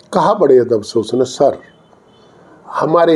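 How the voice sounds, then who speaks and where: A man's voice over noticeable background noise. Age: 60s. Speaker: politician. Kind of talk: interview.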